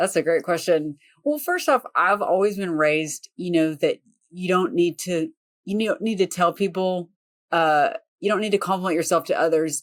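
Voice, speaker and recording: Recorded very cleanly against a silent background, with a dry, close sound and no echo, a woman speaks in a Southern accent with ordinary pitch variation. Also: medium pitch for a woman, moderate pace. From US South. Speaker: property manager and real estate investor. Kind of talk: podcast interview.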